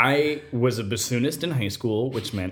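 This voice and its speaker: A man speaks at a moderate pace with lively intonation and a somewhat breathy voice, recorded very cleanly against a silent background. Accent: American. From Nevada, US. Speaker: composer. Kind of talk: interview.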